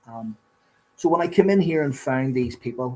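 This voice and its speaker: The speaker is a man. He talks with a Belfast accent. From Northern Ireland, Belfast. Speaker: recovering addict sharing his story. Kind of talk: testimony.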